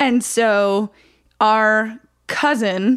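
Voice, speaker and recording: In a very clean recording with a silent background, a woman with a fairly high pitch speaks in an American accent. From upstate New York (Oswego). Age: 40s. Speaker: stand-up comedian. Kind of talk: casual interview chat. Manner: energetic, animated.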